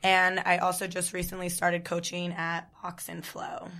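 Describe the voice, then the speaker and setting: A woman's bright, sharp voice with an American accent at a moderate pace, fairly low in pitch, with monotone, flat intonation. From New Jersey. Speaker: fitness coach. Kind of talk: casual chat.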